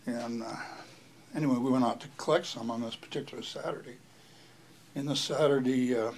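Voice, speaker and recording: In a monotone, flat delivery at medium pitch, a man talks at a fairly quick pace with long, frequent pauses and big swings in loudness. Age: 80s+. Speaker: grandfather telling life story. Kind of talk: oral history interview. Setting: living room at home. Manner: halting, with fillers.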